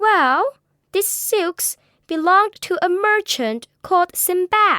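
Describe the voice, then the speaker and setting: A woman puts on a character voice at an extremely high pitch, raised and projected. She speaks at a fairly slow pace with lively intonation. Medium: read story.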